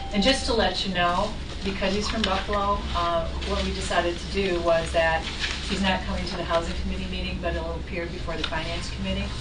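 A woman at a fairly quick pace amid loud background noise. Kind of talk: meeting chairing remarks. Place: meeting room.

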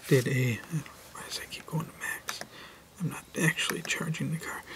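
Whispering, a man talks at a moderate pace. His volume shows big swings in loudness. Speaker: car video creator. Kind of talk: casual tutorial. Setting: indoors, next to sleeping kids. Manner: quiet, soft-spoken; hesitant, many fillers. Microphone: phone near.

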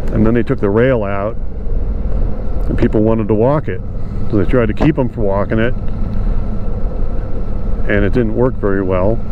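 With long, frequent pauses, a man speaks at a moderate pace in a fairly low voice with fairly even intonation and very even loudness, the sound dry with no echo but with noticeable background noise. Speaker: motorcycle vlogger. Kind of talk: casual vlog chat. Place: motorbike. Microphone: helmet.

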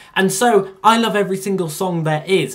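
At a fairly quick pace, a man talks with lively intonation. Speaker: youtuber. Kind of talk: casual vlog chat. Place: home room. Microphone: phone near.

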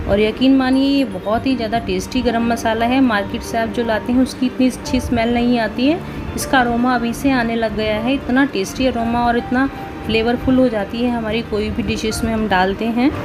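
A woman speaks fairly slowly in a monotone, flat delivery as clear music plays in the background. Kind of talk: tutorial. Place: kitchen.

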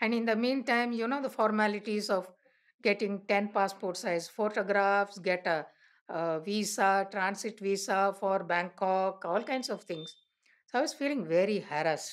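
Against a quiet background, a woman with an Indian accent talks at a moderate pace in a relaxed, warm tone with ordinary pitch variation. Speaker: elder telling life story. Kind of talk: elder life story, reminiscing oral-history narration. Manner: relaxed, conversational storytelling, warm and anecdotal. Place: home room.

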